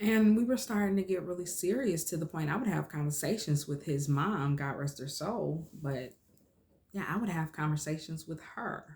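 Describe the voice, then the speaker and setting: This woman has a fairly low, somewhat breathy voice. Her tone is animated, with lively intonation. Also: moderate pace. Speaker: vlogger. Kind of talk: personal storytelling.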